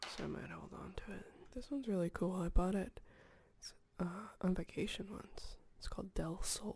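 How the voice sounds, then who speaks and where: The speaker is soft-spoken, with a calm tone and a moderate pace. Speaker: ASMR video creator. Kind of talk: ASMR soft spoken talk to camera. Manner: soft-spoken, calm.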